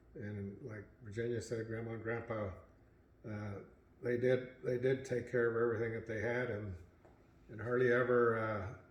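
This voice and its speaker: Audible room echo and noticeable background noise surround a man's medium-pitched voice. He speaks monotonously at a moderate pace, with long, frequent pauses. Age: 80s+. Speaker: family elder sharing memories. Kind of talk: family reminiscing interview.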